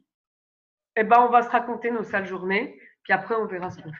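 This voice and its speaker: A woman at a medium pitch and a moderate pace. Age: 30s. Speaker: astro-psychologist and parenting coach. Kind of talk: podcast interview. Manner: hesitant, many fillers.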